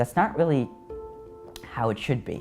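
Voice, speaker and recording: A man speaks with music playing in the background. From Iraq. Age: young. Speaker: writer. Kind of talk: interview answer.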